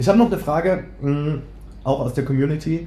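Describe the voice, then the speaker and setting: With audible room echo, a man with a fairly high, dark, mellow voice and vocal fry talks at a moderate pace with lively intonation. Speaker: bread baking content creator and cookbook author. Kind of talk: casual chat. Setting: studio couch, recording together. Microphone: poor sound quality in first episode.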